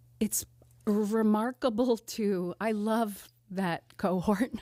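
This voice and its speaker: In a very clean, dry, close recording with a silent background and no echo, a woman with an American accent speaks very slowly at a fairly high pitch with ordinary pitch variation. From US Northeast, Delaware County near Philadelphia. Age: 50s. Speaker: comedian and teaching artist. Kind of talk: casual podcast interview. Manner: halting, many fillers and restarts.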